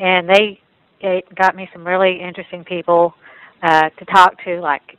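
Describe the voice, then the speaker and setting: With an East Texas accent, a woman speaks at a fairly low pitch and a fairly quick pace. Her intonation is monotone and flat, and the sound is dry and close with no echo. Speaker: photographer and gallery owner. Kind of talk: recounting experiences in a panel talk.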